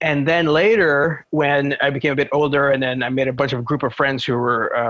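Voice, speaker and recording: With a Quebec accent, this man talks at a moderate pace and a fairly high pitch, with very even loudness, fairly even intonation and hardly any pauses. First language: French. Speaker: translator and scholar. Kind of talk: podcast interview. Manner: hesitant, many fillers.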